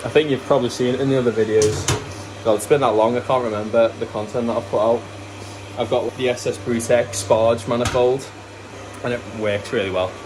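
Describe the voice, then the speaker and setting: Noticeable background noise runs under the speech. The intonation is fairly even and the pace fairly quick. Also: man, medium pitch for a man. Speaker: brewery owner and vlogger. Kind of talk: casual vlog narration. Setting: at the brewery. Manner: rambling with fillers.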